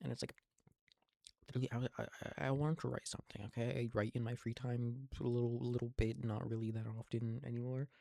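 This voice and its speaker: A man with a dark, mellow tone and medium pitch speaks at a very fast pace in a dry, close sound with no echo. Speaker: vlogger. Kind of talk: casual monologue. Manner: halting, repetitive stammering.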